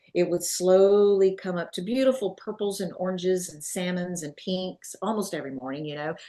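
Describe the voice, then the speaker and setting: With a Southern US accent, a woman speaks at a moderate pace and medium pitch. Her tone is dark and mellow, with ordinary pitch variation. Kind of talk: testimony. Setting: at home.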